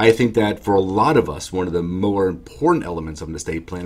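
A man talks at a very fast pace. His pitch sits fairly low, with ordinary variation. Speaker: estate planning attorney. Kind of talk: explanatory talk to camera. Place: office. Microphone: webcam.

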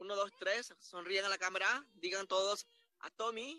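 A man's high, raised and projected voice with fairly even intonation, a dry, close sound with no echo, and music in the background. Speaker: Spanish interpreter narrating a corporate awards ceremony. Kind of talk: live simultaneous interpretation. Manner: repetitive, halting phrasing.

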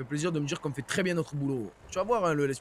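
A man speaks at a fairly quick pace and a fairly high pitch. His voice is somewhat breathy, with lively intonation. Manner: comical.

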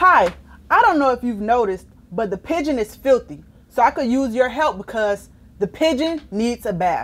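A woman's fairly high voice moves through big pitch swings. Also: moderate pace.

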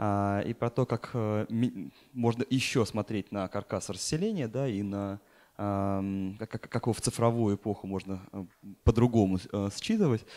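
A man speaks at a fairly slow pace. His pitch varies in an ordinary way. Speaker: dean and urban planner; speaker. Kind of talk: conference talk. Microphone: handheld.

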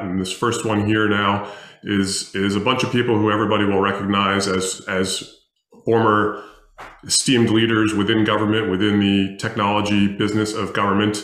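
A man with a fairly low pitch, a fairly quick pace and monotone, flat intonation, in a room with audible echo. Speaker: panel moderator. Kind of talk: panel moderation intro. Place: home room.

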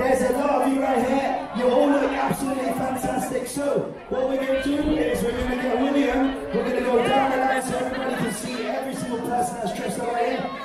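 Crowd noise fills the background as a man speaks at a very fast pace with hardly any pauses. Audible room echo surrounds his voice. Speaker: cruise event host. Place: hall.

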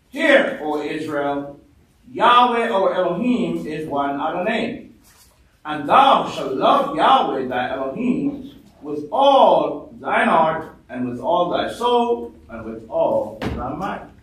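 A man's high-pitched voice with very wide pitch swings, big swings in loudness, a very slow pace and audible room echo. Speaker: church elder. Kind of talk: reading aloud. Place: meeting room.

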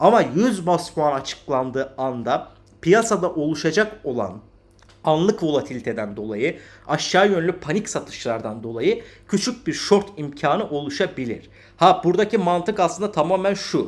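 On a very clean recording with a silent background, a man with a high pitch speaks at a moderate pace with very wide pitch swings. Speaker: crypto market analyst. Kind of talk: market analysis video.

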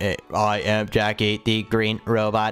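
Over faint music, a man uses a put-on character voice, fairly low in pitch, flat and monotone, at a fairly slow pace. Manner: playful impression.

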